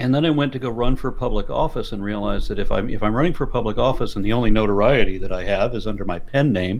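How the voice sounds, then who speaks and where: A man with an American accent talks very fast at a medium pitch, with hardly any pauses. His pitch varies an ordinary amount, and the room echo is audible. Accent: faint Los Angeles accent, fought back. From US Southwest and Texas. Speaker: YouTuber and atheist activist. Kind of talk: interview. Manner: halting, with many restarts.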